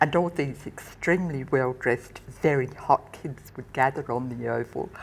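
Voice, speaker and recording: A woman with an Australian accent, very deep and low in pitch, at a moderate pace with fairly even intonation and big swings in loudness. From Western Australia, Perth. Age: 80s+. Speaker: retired nurse and counsellor. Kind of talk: interview, personal memories.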